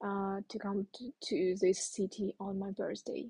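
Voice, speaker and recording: Dry and close with no echo, a woman's medium-pitched voice has a dark, mellow tone, sounds somewhat breathy, and moves at a fairly slow pace with monotone, flat intonation. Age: 20s. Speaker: podcast host. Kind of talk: solo podcast monologue. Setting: recording abroad while traveling. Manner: halting, many fillers.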